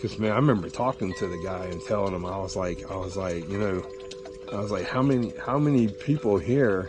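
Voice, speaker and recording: Music plays in the background as a man talks at a fairly quick pace. His pitch is fairly low. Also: ordinary pitch variation. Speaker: fly fisherman. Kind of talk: casual talk to camera.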